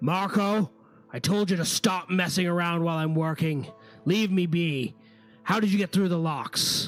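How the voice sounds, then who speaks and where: A man's put-on character voice, high-pitched with ordinary pitch variation, at a moderate pace over faint background music. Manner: annoyed, scolding.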